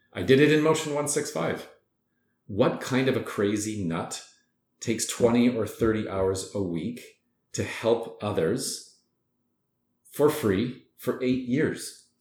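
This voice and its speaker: With audible room echo, a man speaks at a very slow pace and medium pitch, his pitch varying in an ordinary way between long, frequent pauses. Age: 40s. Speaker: fitness and wellness entrepreneur. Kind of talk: interview.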